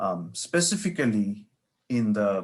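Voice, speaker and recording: A man with a Bengali accent. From India (Bengal). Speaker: professor and author. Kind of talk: interview.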